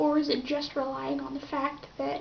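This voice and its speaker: A soft-spoken woman with a high pitch speaks in a monotone, flat intonation amid audible room echo. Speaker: YouTuber. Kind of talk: casual vlog commentary. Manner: halting.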